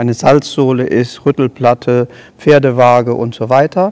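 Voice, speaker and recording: The man's voice sits at a medium pitch, monotone and flat, at a fairly slow pace. The sound is dry and close with no echo. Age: 70s. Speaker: horse trainer. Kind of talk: casual interview.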